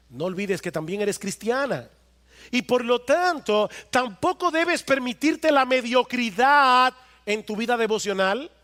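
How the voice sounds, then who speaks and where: This man's raised, projected voice sits extremely high in pitch, with a bright, sharp tone. His intonation is lively, and the sound is dry and close with no echo. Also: fairly slow pace. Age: 50s. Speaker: pastor. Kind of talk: sermon. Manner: emphatic, repetitive.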